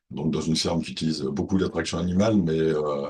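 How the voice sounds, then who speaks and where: The man's voice sits very deep and low, with ordinary pitch variation. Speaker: farmer and industrial designer. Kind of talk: webinar presentation. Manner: halting, many hesitations.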